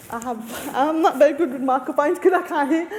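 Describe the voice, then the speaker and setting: An Australian accent comes through at a moderate pace with ordinary pitch variation against noticeable background noise. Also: woman. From Australia, Lebanese family. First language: Arabic. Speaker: deaf researcher and panelist. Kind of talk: panel discussion.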